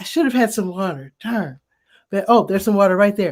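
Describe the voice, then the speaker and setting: A woman's dark, mellow voice on a very clean recording with a silent background. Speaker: community newspaper publisher hosting a weekly live show. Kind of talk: casual live-stream chat. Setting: live video stream on camera. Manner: talking a little softer.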